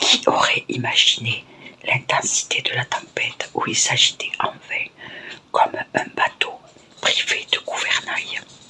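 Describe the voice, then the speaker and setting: Noticeable background noise surrounds a woman who whispers at a very slow pace. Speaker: ASMR creator. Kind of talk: ASMR book reading. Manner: whispered.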